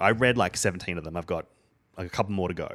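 In an Australian accent, a man with a very deep, low pitch talks at a fairly quick pace on a very clean recording with a silent background. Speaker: podcast panelist. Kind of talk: casual chat.

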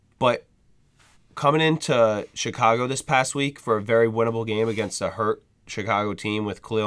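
A man's normal speaking voice at a medium pitch and moderate pace, with ordinary pitch variation, in a very clean recording with a silent background. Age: 20s. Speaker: sports podcast co-host. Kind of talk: casual chat.

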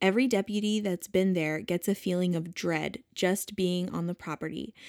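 A woman with an ordinary speaking voice talks at a moderate pace, medium in pitch with ordinary variation. The recording is very clean, with a silent background. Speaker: podcast co-host. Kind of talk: casual chat.

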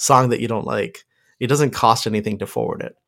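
Over a very clean recording with a silent background, a man speaks at a fairly quick pace with vocal fry. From Pakistan, Lahore. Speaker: podcast guest, music fan. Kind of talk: casual chat.

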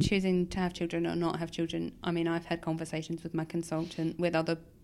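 A woman talks at a very fast pace. Her voice sits at a fairly low pitch with vocal fry. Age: 30s. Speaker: kidney transplant patient. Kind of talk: interview.

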